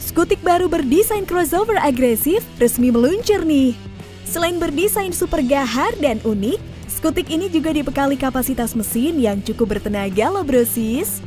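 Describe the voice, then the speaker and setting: A woman's high voice with very wide pitch swings, dry sound with no echo, and music in the background. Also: moderate pace. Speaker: automotive channel narrator. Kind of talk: product review narration.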